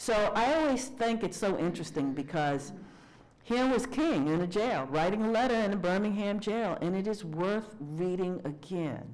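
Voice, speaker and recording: With very wide pitch swings and very even loudness, a woman speaks amid audible room echo. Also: medium pitch for a woman, moderate pace. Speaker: minister and speaker. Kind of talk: lecture with Q&A.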